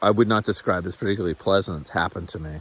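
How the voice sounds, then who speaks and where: A man speaks with a dry, close sound and no echo. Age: 40s. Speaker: youtuber, former special education worker. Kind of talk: personal vlog monologue. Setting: outdoors at a waterfall trail. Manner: halting, many fillers and restarts.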